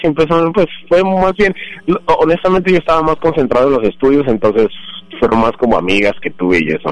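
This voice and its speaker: A man with a normal speaking voice talks at a fairly quick pace and a fairly high pitch. His intonation is lively, and his loudness stays very even. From Colombia, Bogotá. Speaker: immigrant guest. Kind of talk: interview.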